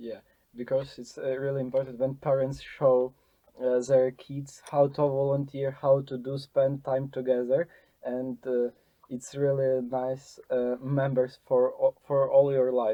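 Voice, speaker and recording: A fairly slow, monotone delivery in a Ukrainian accent, flat in intonation, with big swings in loudness. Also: man, medium pitch for a man. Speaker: podcast host, volunteer. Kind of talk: interview. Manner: halting.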